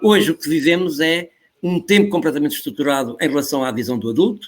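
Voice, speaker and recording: A man with a European Portuguese accent, fairly high pitch, lively intonation and a fairly quick pace. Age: 70s. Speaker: professor. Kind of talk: interview. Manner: animated.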